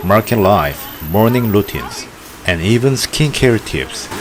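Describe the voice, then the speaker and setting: Over crowd noise in the background, a man talks at a fairly slow pace in a fairly low pitch with lively intonation. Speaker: documentary narrator. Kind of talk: documentary narration.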